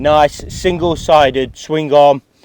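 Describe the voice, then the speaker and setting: A man with an English accent in a dry, close sound with no echo. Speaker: motorcycle reviewer. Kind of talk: product review. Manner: fast; animated.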